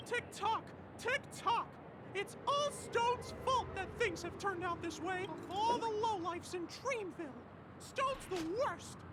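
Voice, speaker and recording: A cartoonish character voice with an extremely high pitch talks at a moderate pace. Loud background noise sits behind it. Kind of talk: cartoon mascot voice. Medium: video game. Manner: exclamatory, lively.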